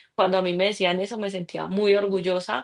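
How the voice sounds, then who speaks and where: A woman with a paisa accent at a medium pitch. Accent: Colombian Spanish (paisa region). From Colombia, Pensilvania, Caldas. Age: 30s. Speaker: author. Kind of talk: interview.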